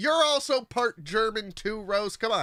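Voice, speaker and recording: A man's high, raised, projected voice with an animated tone and fairly quick pace, on a very clean recording with a silent background. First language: not English. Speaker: gaming streamer. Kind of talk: live gameplay stream chat.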